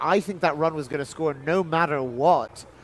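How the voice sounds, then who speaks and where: A man speaks with ordinary pitch variation. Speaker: baseball commentator. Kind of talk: live commentary.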